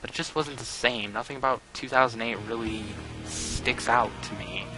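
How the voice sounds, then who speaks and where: Music plays in the background as a man speaks at a medium pitch. His pace is moderate and his pitch varies in an ordinary way. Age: young. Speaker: wrestling reviewer. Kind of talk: casual talk to camera, show promo. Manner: joking, casual.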